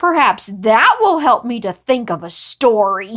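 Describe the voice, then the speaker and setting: A woman growls in a put-on character voice, her pitch fairly high and her pace fairly slow. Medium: read story.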